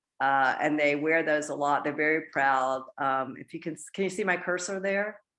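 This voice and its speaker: A woman speaks with a very deep, low pitch and ordinary pitch variation against a quiet background. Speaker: nonprofit program founder. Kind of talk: presentation with slides. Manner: halting, many fillers.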